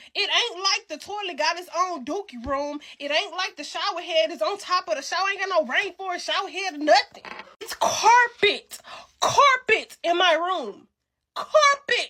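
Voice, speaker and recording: A woman speaks in a raised, projected voice at an extremely high pitch. Her tone is animated, with very wide pitch swings. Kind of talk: comedic rant. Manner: stuttering.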